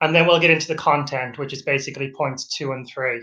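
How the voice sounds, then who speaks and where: A man with an Irish accent at a very fast pace, fairly high pitch and fairly even intonation, with audible room echo. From Ireland. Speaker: PhD researcher. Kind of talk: webinar lecture. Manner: halting.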